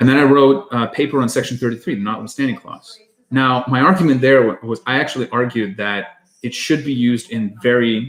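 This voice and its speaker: A man talks at a fairly quick pace with a Russian accent. His pitch is medium, with ordinary variation. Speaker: podcast co-host. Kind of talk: casual chat on a live stream.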